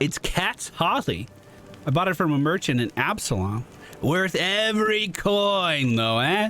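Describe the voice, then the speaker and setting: Using a put-on character voice at a high pitch, a man speaks at a fairly slow pace over clear background noise. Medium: game stream.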